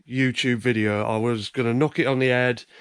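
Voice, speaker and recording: A voice with an English accent in a very clean recording, the background silent. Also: man. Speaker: YouTube reseller vlogger. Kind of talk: casual vlog. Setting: indoors, dark room early morning. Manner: hesitant, many fillers; soft-spoken, trying to be quiet.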